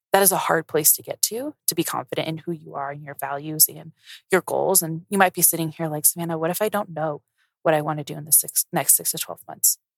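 In an American accent, a woman with a very deep, low pitch speaks at a very fast pace with fairly even intonation and big swings in loudness, in a dry, close sound with no echo. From US, Colorado. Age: 20s. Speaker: podcast host, accountant. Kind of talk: casual solo monologue. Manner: chatty, filler-heavy.

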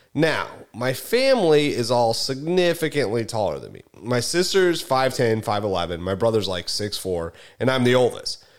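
A man at a medium pitch makes very wide pitch swings and big swings in loudness. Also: moderate pace. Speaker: podcast host and real estate agent. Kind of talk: casual chat. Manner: animated, conversational storyteller.

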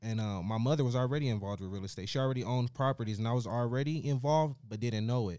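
In an American accent, the speaker talks very fast with hardly any pauses, in a dark, mellow tone with ordinary pitch variation. The recording is very clean, with a silent background. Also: man, medium pitch for a man. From US West, Las Vegas. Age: 20s. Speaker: real estate investor and credit consultant. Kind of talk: interview.

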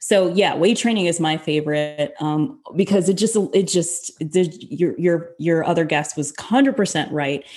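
Using an unremarkable speaking voice, a woman talks at a fairly slow pace with lively intonation and hardly any pauses. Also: fairly low pitch for a woman. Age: 40s. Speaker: fitness coach. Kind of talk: casual interview chat.

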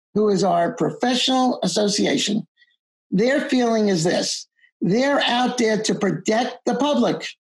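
A woman with an American accent speaks at a fairly slow pace, her somewhat breathy voice set fairly high, with ordinary pitch variation. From US Northeast (Long Island, New York). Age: 70s. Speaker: accountant and exam-prep teacher. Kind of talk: interview. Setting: video call.

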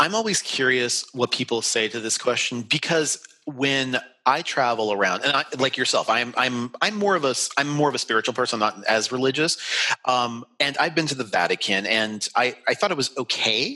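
Speaking at a moderate pace with an American accent, a man uses a medium pitch and ordinary pitch variation against noticeable background noise. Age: 40s. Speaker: travel podcast host. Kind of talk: interview.

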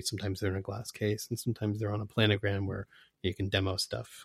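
Recorded very cleanly against a silent background, a man with a fairly low pitch talks at a very fast pace, somewhat breathy, the sound dry and close with no echo. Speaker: microphone company representative, guitarist. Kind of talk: casual interview.

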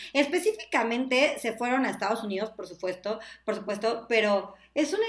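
Her intonation lively, a woman speaks at a moderate pace in a fairly high pitch, an unremarkable speaking voice. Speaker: digital sales manager and former TV presenter. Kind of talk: casual chat.

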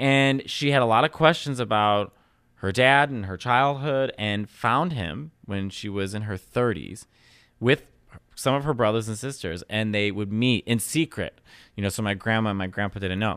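A man speaks with a Chicago accent at medium pitch and ordinary pitch variation. His pace is moderate, and the recording is very clean with a silent background. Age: 30s. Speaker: comedian. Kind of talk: casual chat. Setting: studio.

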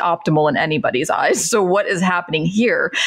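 A woman talks at a moderate pace with an American accent. It is a normal speaking voice with ordinary pitch variation. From Central Florida. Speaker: patient advocate, former pharmacist. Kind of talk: interview conversation.

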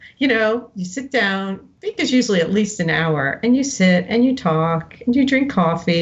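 Somewhat breathy, a woman with an American accent talks with lively intonation. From New Jersey, US. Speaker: novelist. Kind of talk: interview.

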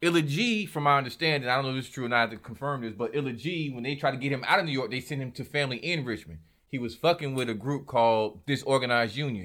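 A man's medium-pitched voice with ordinary pitch variation, hardly any pauses and a very fast pace. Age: 40s. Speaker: hip-hop artist. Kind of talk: casual chat.

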